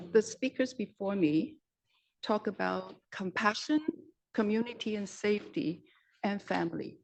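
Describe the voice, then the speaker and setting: With lively intonation and a medium pitch, a woman talks at a fairly slow pace, leaving long, frequent pauses. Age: 60s. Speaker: public hearing speaker. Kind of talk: public testimony. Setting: council chamber public hearing.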